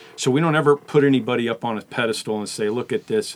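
Here a man talks at a fairly quick pace in an unremarkable speaking voice. His pitch sits at a medium level with ordinary pitch variation. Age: 50s. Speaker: pastor. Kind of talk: casual chat.

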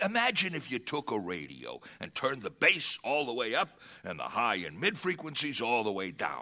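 With very wide pitch swings, a man does a put-on character voice in a bright, sharp tone. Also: medium pitch for a man, moderate pace.

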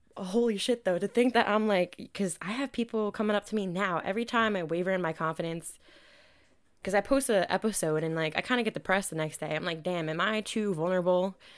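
Speaking at a very fast pace, a woman with medium pitch and ordinary pitch variation comes through on a very clean recording with a silent background. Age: 20s. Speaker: podcast host. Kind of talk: casual solo monologue. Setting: home recording. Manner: animated.

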